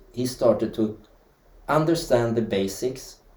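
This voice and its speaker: With a Swedish accent, a man speaks at a fairly slow pace in a medium pitch, his dark, mellow tone somewhat breathy and his intonation lively. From Sweden. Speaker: dance teacher and historian. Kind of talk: interview.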